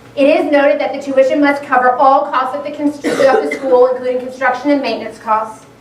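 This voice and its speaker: A high-pitched woman at a fairly quick pace, fairly even intonation, audible room echo and noticeable background noise. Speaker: school board member. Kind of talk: public presentation. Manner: fast.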